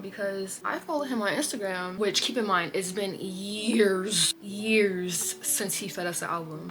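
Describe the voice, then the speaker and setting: A woman with an American accent at a moderate pace, amid noticeable background noise. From Iowa, USA. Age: 20s. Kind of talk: casual chatty talk to camera. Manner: chatty, rambling.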